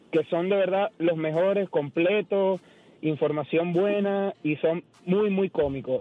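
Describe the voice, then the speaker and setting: A man's high voice, fairly slow, very even in loudness, with ordinary pitch variation. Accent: Venezuelan. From Venezuela. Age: 30s. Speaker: caller, listener. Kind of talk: radio call-in. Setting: phone call.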